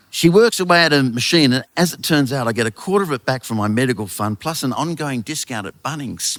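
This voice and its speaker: Very fast male speech with an Australian accent, hardly any pauses, big swings in loudness and a dry, close sound with no echo. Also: medium pitch for a man, lively intonation. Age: 60s. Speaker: author and storyteller. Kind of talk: live storytelling to an audience. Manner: comic, wry delivery.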